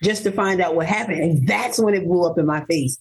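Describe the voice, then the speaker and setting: A woman's plain, everyday voice with ordinary pitch variation. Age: 50s. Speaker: abduction survivor and author of her story. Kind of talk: interview testimony.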